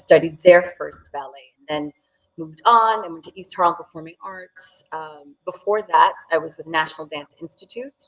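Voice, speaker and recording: A woman's plain, everyday voice, fairly low in pitch with ordinary pitch variation, at a moderate pace with big swings in loudness. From New York, US (from age 4-5; born in Sierra Leone). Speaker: dance teacher. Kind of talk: interview.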